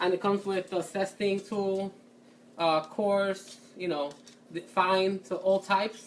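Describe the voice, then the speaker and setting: A woman talks in a Puerto Rican accent at a medium pitch. Her pace is fairly slow. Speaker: culinary student and home cook. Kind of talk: cooking tutorial. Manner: casual, chatty.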